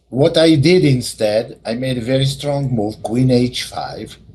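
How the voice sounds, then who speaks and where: At a very slow pace, a man speaks with lively intonation and a somewhat breathy voice. His pitch is medium. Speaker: chess teacher. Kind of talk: lecture.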